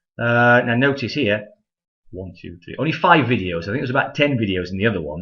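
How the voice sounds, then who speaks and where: A man speaks very fast at a medium pitch. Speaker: college math instructor. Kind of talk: tutorial. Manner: casual, frequent 'okay?' fillers.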